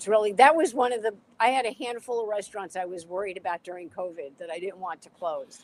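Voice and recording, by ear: A woman of medium pitch talks fast, her tone slightly mellow and her intonation fairly even.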